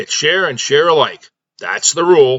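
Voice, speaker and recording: In a put-on character voice, a man bellows at a moderate pace, raspy and high-pitched with fairly even intonation. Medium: read story. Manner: bellowing.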